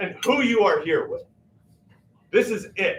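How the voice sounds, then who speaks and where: A man speaking at a fairly slow pace. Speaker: featured artist. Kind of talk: impassioned speech to a live audience. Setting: church basement community gathering with audience. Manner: loud; emphatic.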